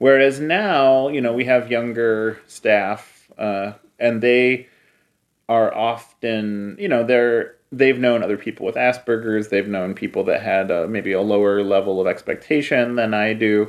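A man's medium-pitched, normal speaking voice at a fairly slow pace, with a quiet background. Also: ordinary pitch variation. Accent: American. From US Midwest, Cleveland. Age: 30s. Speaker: publisher and filmmaker. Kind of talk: interview conversation.

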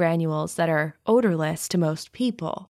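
An ordinary speaking voice from a woman, fairly slow in pace and ordinary in pitch variation. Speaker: true crime podcast host. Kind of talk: true-crime narration. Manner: measured, storytelling tone.

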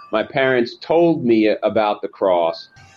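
With music in the background, the speech moves at a fairly slow pace. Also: man. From US Northeast, Long Island, New York. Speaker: lawyer and author. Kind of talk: interview.

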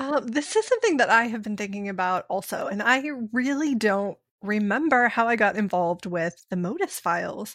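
Lively intonation from a woman with a Pittsburgh accent. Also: very clean recording, silent background. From US, Pittsburgh. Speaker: voice actor. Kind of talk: casual chat. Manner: fast talker.

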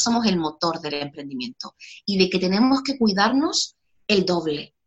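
Her pitch swings very widely. The woman talks at a moderate pace. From Chile. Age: 30s. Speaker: educator and self-esteem course creator. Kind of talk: interview.

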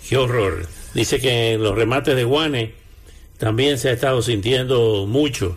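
A somewhat breathy man at medium pitch, with ordinary pitch variation and a fairly slow pace. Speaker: radio host. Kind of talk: live radio news and weather bulletin. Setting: radio studio. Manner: brisk, conversational, rattling off weather figures.

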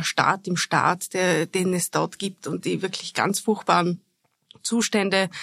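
A woman speaks at medium pitch and a fairly slow pace, with vocal fry. Her monotone, flat intonation sits in a dry, close sound with no echo. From Austria, Vorarlberg. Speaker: foreign correspondent. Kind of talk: interview. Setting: studio.

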